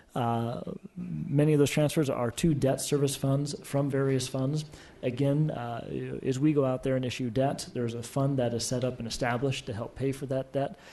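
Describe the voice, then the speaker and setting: Audible room echo surrounds a man at medium pitch. His tone is dark and mellow, with fairly even intonation. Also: moderate pace. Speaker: city finance officer. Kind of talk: council presentation. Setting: council chamber. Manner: soft-spoken; halting, many fillers.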